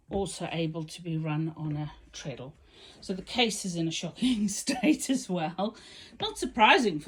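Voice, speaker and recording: A somewhat breathy woman, fairly low in pitch, with very wide pitch swings at a moderate pace. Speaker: sewing machine restorer. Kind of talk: casual talk to camera.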